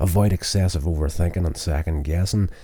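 The man's pitch is very deep and low. His tone is dark and mellow and somewhat breathy. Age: 40s. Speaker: podcast host and amateur filmmaker. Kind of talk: self-help monologue. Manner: reading list items.

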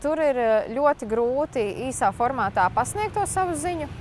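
A woman speaks with very wide pitch swings. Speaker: doctor and health communicator on social media. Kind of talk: interview.

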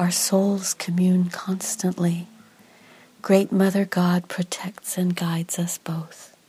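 A woman speaks at a very slow pace in a soothing, calm tone, her voice dark, mellow and somewhat breathy, at a medium pitch with monotone, flat intonation. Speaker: doula and meditation narrator. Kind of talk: guided meditation. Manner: slow, soft, soothing, calm.

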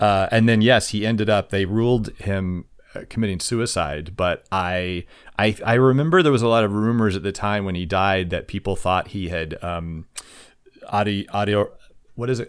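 A man speaks at a moderate pace in an ordinary speaking voice. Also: fairly low pitch for a man, ordinary pitch variation. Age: middle-aged. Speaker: podcast host, musical writer. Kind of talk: casual chat. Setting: remote recording, not in same room.

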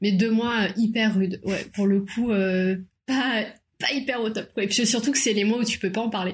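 At a moderate pace, a woman speaks in a fairly high, somewhat breathy voice with fairly even intonation. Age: 30s. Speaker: young mother. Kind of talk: casual chat.

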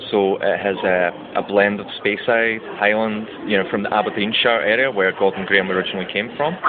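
Over noticeable background noise, a man speaks fairly quickly at a fairly low pitch, with fairly even intonation and very even loudness. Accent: Scottish. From Scotland. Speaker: brand ambassador and bartender. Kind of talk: interview. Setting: brand launch event.

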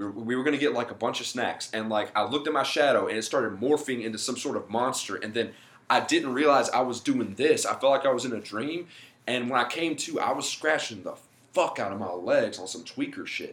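Fairly quick and at medium pitch, a man with an ordinary speaking voice talks with ordinary pitch variation. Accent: American. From US South. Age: 20s. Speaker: stand-up comedian. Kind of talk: casual chat.

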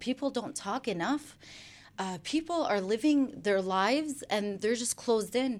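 Her pitch high and her intonation lively, a woman with a Chicago accent talks at a moderate pace. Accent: Chicago American. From US Midwest, Chicago. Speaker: social media influencer. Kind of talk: radio interview. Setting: radio studio.

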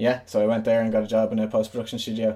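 With a western Irish accent, the voice has a dark, mellow tone. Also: man. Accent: Irish (west of Ireland). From Ireland, Galway. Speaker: musician and community radio co-founder. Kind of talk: casual interview chat. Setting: video call.

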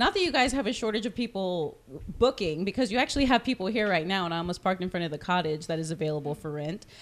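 A woman with an American accent talks at a very fast pace and a medium pitch. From Corpus Christi, Texas. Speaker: podcast host. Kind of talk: casual interview conversation. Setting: on location at the venue.

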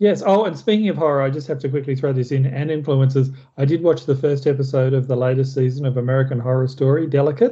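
A man's fairly high voice with an Australian accent, very fast and with hardly any pauses, somewhat breathy, with ordinary pitch variation. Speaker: film review podcast host. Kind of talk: casual chat.

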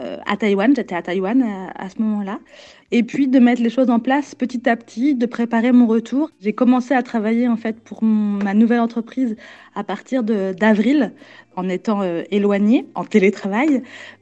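Pitched fairly high, a woman talks at a moderate pace, her pitch varying in an ordinary way. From Normandy, France (Falaise, Calvados). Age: 30s. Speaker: exhibition designer. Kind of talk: interview. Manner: halting, many hesitations.

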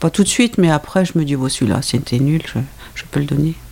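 This woman's voice is very deep and low, and somewhat breathy. She talks at a fairly quick pace with lively intonation. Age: 60s. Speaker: host's mother, reader. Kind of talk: casual chat.

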